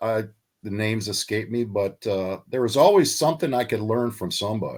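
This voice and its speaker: Speaking at a fairly quick pace, a man with an American accent uses an ordinary speaking voice at a medium pitch with ordinary pitch variation. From Texas. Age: 60s. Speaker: shark fisherman. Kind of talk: interview answer.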